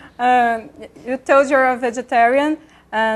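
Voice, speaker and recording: Speaking with a Portuguese accent, a woman has a high pitch. She talks at a fairly slow pace. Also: quiet background. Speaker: TV show host. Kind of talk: interview. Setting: studio. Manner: halting in English.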